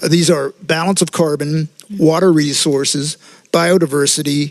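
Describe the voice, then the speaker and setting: A normal speaking voice from a man, fairly high in pitch, with fairly even intonation and a moderate pace. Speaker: representative of an inter-American agriculture institute. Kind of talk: conference panel talk. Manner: formal.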